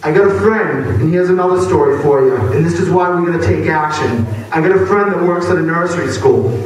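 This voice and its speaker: With an American accent and a high pitch, a man talks with hardly any pauses and ordinary pitch variation, with audible room echo and noticeable background noise. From Massachusetts, Boston area. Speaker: activist speaker. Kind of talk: speech to a crowd. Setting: stage at a hardcore show. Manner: unscripted, occasionally halting.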